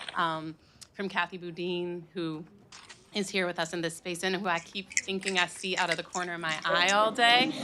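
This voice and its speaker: A woman's fairly low voice in an American accent, at a moderate pace with fairly even intonation, over noticeable background noise. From Chicago. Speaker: nonprofit executive director. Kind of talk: panel introduction. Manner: casual.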